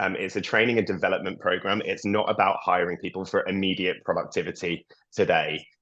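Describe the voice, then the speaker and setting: Talking at a fairly quick pace, a man speaks with a British accent. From UK. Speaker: early career program lead. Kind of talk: webinar panel talk. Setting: video call.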